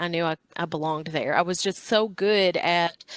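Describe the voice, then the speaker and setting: Recorded with a dry, close sound and no echo, a woman speaks at a moderate pace in a Southern US accent. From US South (Northwest Tennessee, Obion County). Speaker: chef and cookbook author. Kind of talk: interview.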